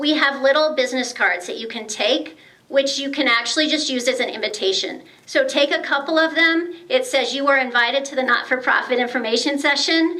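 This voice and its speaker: Through noticeable background noise and audible room echo, a woman speaks in a raised, projected, high voice. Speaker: grant committee volunteer at a members' meeting. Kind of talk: speech to an audience. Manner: hesitant, many fillers.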